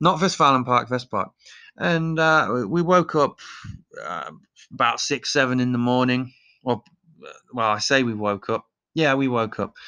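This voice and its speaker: A man's bright, sharp, medium-pitched voice with an East Midlands accent, at a fairly slow pace with long, frequent pauses. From Leicester, England. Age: 30s. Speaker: podcast host. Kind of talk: casual opinionated monologue, comedic. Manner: opinionated, sarcastic, joking.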